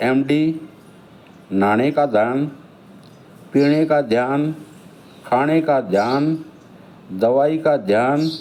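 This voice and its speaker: A man's dark, mellow tone, fairly high in pitch, with ordinary pitch variation. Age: 60s. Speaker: elderly vlogger telling his life story. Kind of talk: autobiographical monologue.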